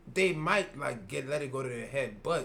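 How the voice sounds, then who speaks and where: Audible room echo surrounds a man speaking at a fairly slow pace. His intonation is lively, and vocal fry runs through his voice. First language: not English. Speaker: podcast co-host. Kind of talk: casual chat.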